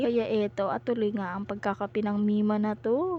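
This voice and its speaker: A woman speaks softly at a fairly quick pace. Her voice is somewhat breathy, with a dark, mellow tone. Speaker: vlogger, mother. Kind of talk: voice-over narration. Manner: soft-spoken; casual.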